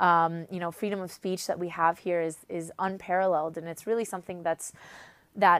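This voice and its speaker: A woman speaks at a fairly low pitch with fairly even intonation. The recording is very clean, with a silent background. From US, North Carolina. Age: 20s. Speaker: recent university graduate, activist. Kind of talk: interview testimony. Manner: hesitant, many fillers.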